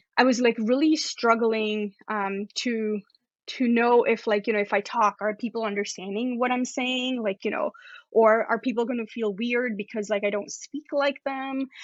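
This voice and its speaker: Speaking with a non-native accent, a woman uses a fairly high pitch and fairly even intonation. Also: moderate pace. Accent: non-Canadian accent from home country. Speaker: astrophysicist. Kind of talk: interview.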